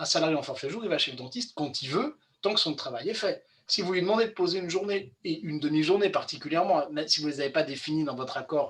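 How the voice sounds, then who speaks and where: At a very fast pace, a man talks in a high pitch with ordinary pitch variation. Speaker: employment law expert. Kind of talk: webinar presentation.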